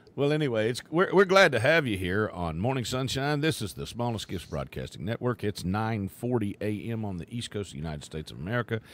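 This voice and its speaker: With an Appalachian accent, a man races along at a very fast pace with hardly any pauses, his medium-pitched voice making very wide pitch swings and big swings in loudness. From West Virginia. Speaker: radio host. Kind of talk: live radio show chat.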